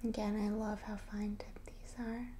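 With a gentle tone and monotone, flat intonation, a woman speaks at a fairly slow pace over light background noise. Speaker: ASMR creator. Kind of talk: casual guided gratitude practice while writing and drawing. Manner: soft-spoken, gentle, whispery. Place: home room.

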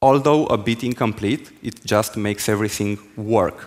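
This man talks at a fairly slow pace. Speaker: conference speaker. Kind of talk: technical talk. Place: stage. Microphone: headset.

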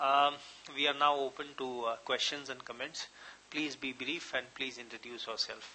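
A man's monotone, flat delivery at a moderate pace, with light background noise. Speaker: lecture moderator. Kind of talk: introduction and moderating Q&A. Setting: lecture hall with live audience. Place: hall. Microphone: podium.

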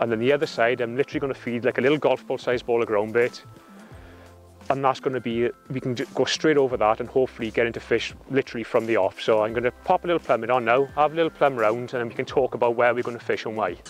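A man talks at a very fast pace with fairly even intonation. The sound is dry with no echo, and faint music plays in the background. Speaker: presenter. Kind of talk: tutorial. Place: waterside.

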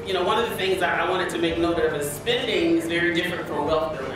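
A woman's fairly low voice at a fairly quick pace, with strong room echo and noticeable background noise. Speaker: panelist. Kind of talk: panel discussion remarks. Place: hall.

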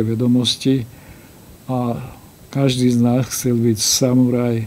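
A man speaks at a fairly slow pace. His medium pitch has monotone, flat intonation. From Slovakia. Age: 80s+. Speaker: karate master. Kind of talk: interview. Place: studio.

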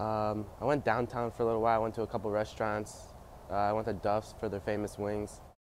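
This man has an American accent and a medium pitch, speaking at a fairly quick pace. The sound is dry with no echo, over light background noise. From upstate New York (Amsterdam, NY). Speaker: college swimmer. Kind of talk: interview answers. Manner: hesitant with fillers. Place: hall.

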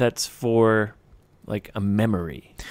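This is a man speaking. His tone is animated. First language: English (speaking Japanese). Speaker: English conversation podcast host. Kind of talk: casual chat. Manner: animated, laughing often.

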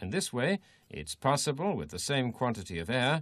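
A man's medium-pitched voice with vocal fry and very wide pitch swings, at a moderate pace over a quiet background. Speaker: training film narrator. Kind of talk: vintage technical training film narration, scripted. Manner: formal; measured, even, step-by-step instructional delivery.

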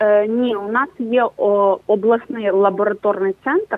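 Pitched fairly high, a woman's voice shows ordinary pitch variation. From southern Ukraine. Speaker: journalist, news editor. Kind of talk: live remote interview. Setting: remote live link. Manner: halting, many fillers.

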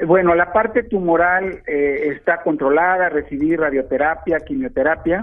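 A high-pitched man talks at a moderate pace with ordinary pitch variation. He barely pauses at all. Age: 60s. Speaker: caller, cancer patient. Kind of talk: phone call to radio show. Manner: halting.

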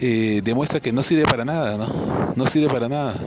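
Noticeable background noise runs under the speech. The speaker is a man at a medium pitch. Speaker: political commentator. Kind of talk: video commentary monologue.

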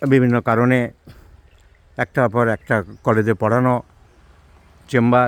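A man of medium pitch talks in a monotone, flat intonation, the sound dry and close with no echo. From Bangladesh, Satkhira (Khulna district). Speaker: homeopathic doctor and teacher. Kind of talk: vlog narration.

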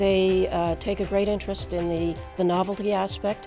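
A woman's voice with clear music in the background. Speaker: agricultural scientist. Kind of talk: interview answer. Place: studio.

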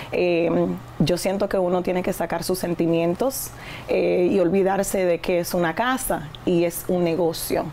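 A woman's fairly low, slow-paced voice with fairly even intonation and very even loudness over light background noise. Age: 30s. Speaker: real estate agent and investor; guest. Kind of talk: interview. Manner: hesitant fillers. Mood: earnest, reflective. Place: studio.

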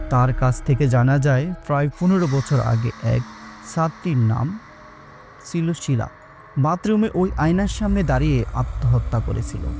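Music plays in the background. Over it, a man talks with very even loudness. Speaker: voice artist and narrator. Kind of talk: horror audio story narration.

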